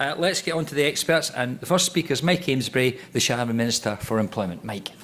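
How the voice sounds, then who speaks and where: A very fast-talking man with a Scottish accent. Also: medium pitch for a man, lively intonation. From Scotland. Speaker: panel chair, politician. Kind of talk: panel discussion introduction. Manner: casual, joking.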